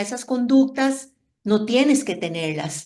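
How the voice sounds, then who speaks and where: A woman's high voice at a fairly slow pace. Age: 60s. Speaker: Al-Anon member sharing experience. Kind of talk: testimony.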